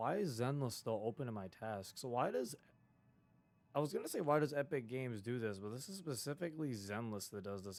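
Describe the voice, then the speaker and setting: Music plays in the background as a man talks. He moves at a fairly quick pace with lively intonation. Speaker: gaming streamer. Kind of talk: casual live stream chat.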